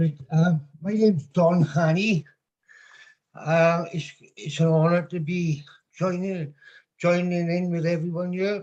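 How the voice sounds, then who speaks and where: A man with a Welsh accent speaks at a fairly slow pace in a high pitch, his intonation fairly even and his words separated by long, frequent pauses. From South Wales. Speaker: call participant. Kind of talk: casual chat. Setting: video call.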